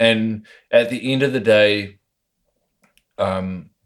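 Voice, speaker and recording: A man speaks with a New Zealand accent. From New Zealand (Lower Hutt, near Wellington). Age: 30s. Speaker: skateboarder and woodworker. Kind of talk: casual interview over beers. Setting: recorded in his home.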